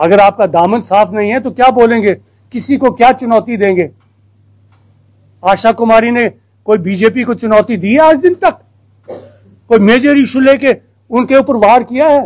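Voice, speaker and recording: With an extremely high pitch for a man, he speaks with ordinary pitch variation and long, frequent pauses. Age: 80s+. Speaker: politician. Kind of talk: political press statement. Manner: animated.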